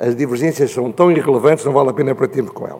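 In a European Portuguese accent, the speaker uses ordinary pitch variation against noticeable background noise. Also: man. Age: old. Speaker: panel speaker. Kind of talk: panel talk.

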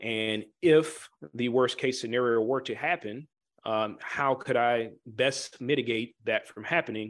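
With an American accent, a man speaks fairly slowly in an ordinary speaking voice with ordinary pitch variation. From Chicago area. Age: 20s. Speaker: Air Force veteran and real estate developer. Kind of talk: interview.

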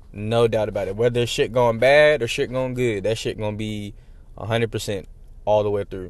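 Talking at a fairly quick pace, a man at medium pitch uses ordinary pitch variation in an unremarkable speaking voice. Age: 20s. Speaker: podcast host. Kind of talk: casual monologue. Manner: casual, filler-heavy.

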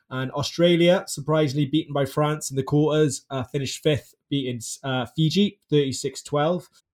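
The voice is somewhat breathy, at a moderate pace. Its intonation stays fairly even. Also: man, fairly high pitch for a man. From Wales. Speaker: podcast host. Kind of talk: casual chat.

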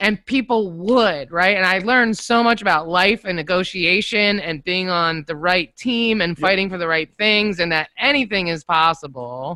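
A woman with an American accent at medium pitch, bright and sharp in tone, lively in intonation, at a moderate pace with hardly any pauses, in a dry, close sound with no echo. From Northern Virginia (Falls Church). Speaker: podcast studio owner. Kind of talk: casual interview. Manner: animated, laughs often.

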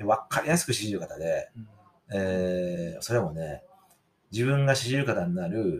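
A man's voice with very wide pitch swings at a fairly slow pace. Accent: Kansai. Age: 40s. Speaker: podcast host. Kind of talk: casual chat.

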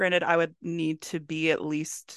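A woman with an American accent and a very deep, low pitch, vocal fry and ordinary pitch variation, in a dry, close sound with no echo against a quiet background. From Maryland, Howard County. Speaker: candle business owner and book content creator. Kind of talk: casual chat.

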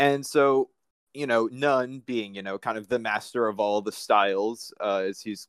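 A man with an American accent has an unremarkable speaking voice at a medium pitch with ordinary pitch variation. He talks at a moderate pace, and the sound is dry and close with no echo. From Manhattan, New York. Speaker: caller.

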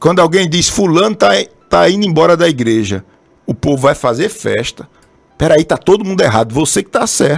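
Speaking in a Brazilian accent at a moderate pace, a man with a fairly high pitch shows very wide pitch swings and vocal fry. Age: 30s. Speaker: pastor. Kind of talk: sermon. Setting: live stream broadcast also on radio.

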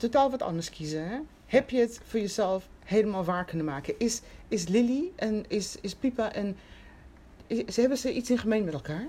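The voice has a dark, mellow tone and sounds somewhat breathy. It moves at a moderate pace with lively intonation. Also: woman, fairly high pitch for a woman. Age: 50s. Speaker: podcast host. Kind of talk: interview.

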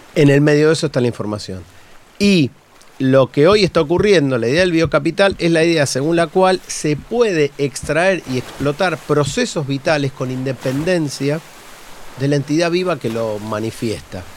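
A man with an Argentine accent speaks at a moderate pace and a fairly high pitch, with lively intonation. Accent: Rioplatense Argentine Spanish. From Buenos Aires, Argentina. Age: 40s. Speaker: university professor and researcher. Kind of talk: casual interview chat.

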